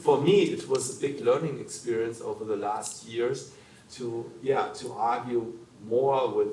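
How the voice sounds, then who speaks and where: Speaking fairly slowly in a German accent, a man is heard with audible room echo and noticeable background noise. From Germany. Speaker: human rights lawyer. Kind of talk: panel discussion. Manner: halting.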